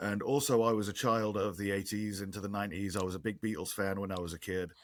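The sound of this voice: A man with an English accent talks fast at a fairly low pitch. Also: fairly even intonation.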